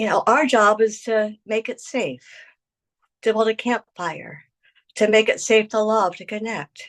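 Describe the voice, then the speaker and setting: In a plain, everyday voice with a fairly high pitch, a woman speaks at a fairly slow pace with big swings in loudness, the sound dry and close with no echo and the background quiet. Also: ordinary pitch variation. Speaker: retreat facilitator and wellness teacher. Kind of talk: workshop talk with guided meditation.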